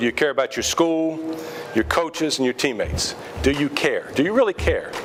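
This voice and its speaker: Against noticeable background noise, a man talks fairly quickly with very even loudness. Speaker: high school basketball coach. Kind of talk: team talk. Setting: restaurant dinner.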